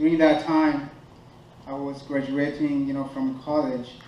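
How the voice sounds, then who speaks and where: Noticeable noise sits in the background as someone talks at a fairly slow pace. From Burundi. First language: French. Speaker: runner and refugee speaker. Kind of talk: motivational speech. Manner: halting, many fillers.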